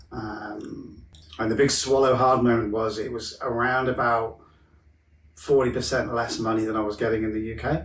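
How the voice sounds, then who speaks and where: The intonation stays fairly even. There is audible room echo. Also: man. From Wales. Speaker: mental health counsellor. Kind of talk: podcast interview. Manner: casual, hesitant with fillers.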